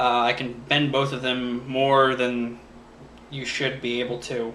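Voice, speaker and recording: A man with a medium-pitched voice is heard with noticeable background noise and audible room echo. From Florida, moved to Seattle as a child. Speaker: YouTuber, vlogger. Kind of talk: casual vlog. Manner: hesitant, many fillers.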